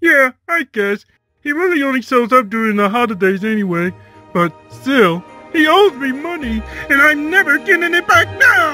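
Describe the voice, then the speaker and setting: A cartoonish character voice is heard over faint music in the background. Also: moderate pace. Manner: excitable, earnest.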